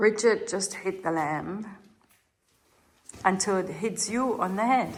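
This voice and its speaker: A woman speaks with a German accent at a fairly slow pace. Her pitch varies in an ordinary way, and audible room echo surrounds her voice. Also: medium pitch for a woman. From Germany. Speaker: chateau renovation vlogger. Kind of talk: casual vlog chat.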